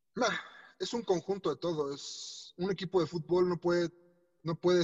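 Dry and close with no echo, this recording captures a man talking fairly quickly at a fairly high pitch in an unremarkable speaking voice. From Mexico. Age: 30s. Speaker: racing driver. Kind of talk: interview.

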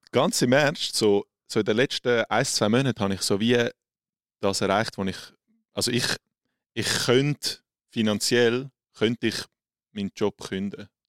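With a Swiss accent, a man at medium pitch speaks at a fairly slow pace with long, frequent pauses and fairly even intonation, in a very clean recording with a silent background and a dry, close sound with no echo. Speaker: social media creator. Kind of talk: casual interview.

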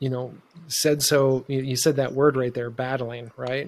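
A man with an American accent speaks at a moderate pace in a medium pitch. His intonation stays fairly even. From Ohio, Youngstown. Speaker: podcast host, healing practitioner. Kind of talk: casual interview. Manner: halting.

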